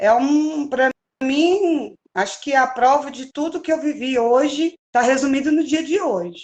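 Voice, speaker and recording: Her pitch high, a woman speaks at a fairly slow pace with ordinary pitch variation. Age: young. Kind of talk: interview.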